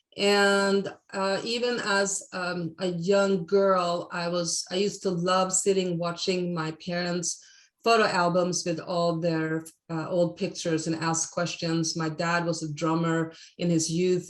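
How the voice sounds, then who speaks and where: The delivery comes at a fairly slow pace. Its intonation stays monotone and flat. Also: woman. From Sweden. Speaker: photographer. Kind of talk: podcast interview.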